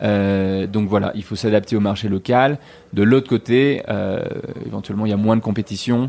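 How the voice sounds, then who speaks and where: A man speaks in a dark, mellow tone. His pitch sits fairly low. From Switzerland (Geneva). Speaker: entrepreneur and investor. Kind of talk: interview. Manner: halting, many fillers.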